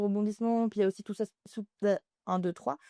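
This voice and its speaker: A woman's dark, mellow voice at medium pitch, with fairly even intonation, dry and close with no echo, over a quiet background. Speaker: podcast guest, crime fiction reader. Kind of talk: casual chat. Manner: hesitant, many fillers.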